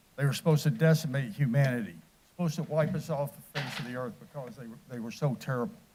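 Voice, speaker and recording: Talking very fast with an American accent, a man has a fairly high pitch, a dark, mellow tone, some breathiness and ordinary pitch variation. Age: 60s. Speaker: military veteran, public commenter. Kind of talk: public comment speech. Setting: council chamber.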